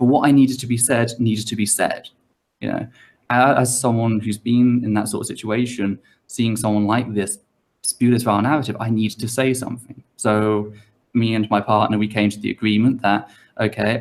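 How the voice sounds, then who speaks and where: Fairly quick in pace, a man speaks at medium pitch with monotone, flat intonation. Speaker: YouTuber, guest on talk show. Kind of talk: online panel interview. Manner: halting, stuttering at times.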